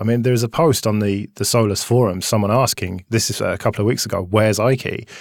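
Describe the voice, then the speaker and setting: In a very clean recording with a silent background, a man with an ordinary speaking voice talks at a fairly low pitch and fairly quick pace, his intonation fairly even. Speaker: podcast co-host.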